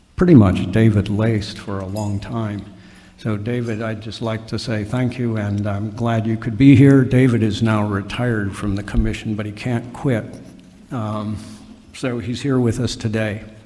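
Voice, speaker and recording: A man talks at a moderate pace with a fairly low pitch and fairly even intonation. There is audible room echo and noticeable background noise. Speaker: commission official giving meeting overview. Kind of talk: formal meeting presentation. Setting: meeting hall with audience, microphone. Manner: halting, many fillers and restarts.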